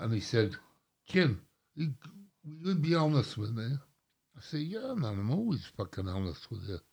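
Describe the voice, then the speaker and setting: At a moderate pace and with long, frequent pauses, a man with an English accent speaks in a somewhat breathy voice of medium pitch that makes very wide pitch swings. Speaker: drummer. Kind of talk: casual chat. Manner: slightly slurred, hesitant speech.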